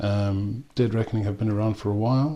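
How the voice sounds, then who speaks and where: Speaking at a moderate pace in a South African accent, a man with a fairly low pitch sounds somewhat breathy and uses ordinary pitch variation. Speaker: whisky and rum reviewer. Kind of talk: product review. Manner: hesitant, many ums.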